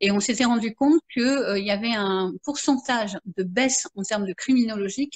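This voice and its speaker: A woman with a fairly high pitch and ordinary pitch variation, somewhat breathy, at a fairly quick pace. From France. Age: 50s. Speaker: marketing consultant and therapist. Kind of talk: interview. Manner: halting, many fillers.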